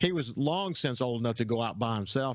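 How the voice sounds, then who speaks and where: With a Southern US accent, a man speaks at a medium pitch with ordinary pitch variation. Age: 60s. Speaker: outdoors radio host. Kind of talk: casual radio interview chat. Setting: radio studio.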